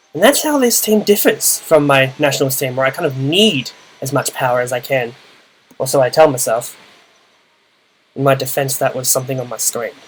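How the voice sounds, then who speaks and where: A man speaks at a fairly quick pace with ordinary pitch variation and long, frequent pauses. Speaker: video game commentator. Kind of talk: gameplay commentary. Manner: casual.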